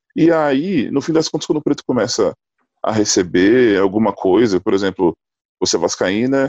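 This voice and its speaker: A man with a plain, everyday voice speaks with a fairly high pitch and lively intonation. The sound is dry and close with no echo. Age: 30s. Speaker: basketball player and civil engineer. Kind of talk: casual discussion.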